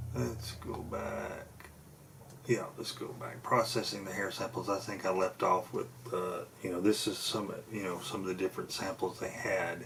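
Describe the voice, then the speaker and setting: Noticeable noise runs behind speech delivered at a moderate pace. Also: man, fairly low pitch for a man, ordinary pitch variation. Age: 50s. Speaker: paranormal researcher and video host. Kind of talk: casual video monologue. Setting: home desk. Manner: halting, many fillers.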